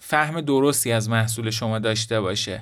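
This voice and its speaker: A man talks at a moderate pace in a plain, everyday voice, with ordinary pitch variation. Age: 20s. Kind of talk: solo podcast monologue.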